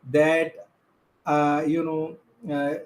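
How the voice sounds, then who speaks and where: A man with a non-native accent talks at a fairly high pitch. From India, Gujarat (Chhara tribe, Ahmedabad). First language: Bhantu. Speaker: filmmaker and activist. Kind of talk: conference talk. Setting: video call. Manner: halting, many fillers.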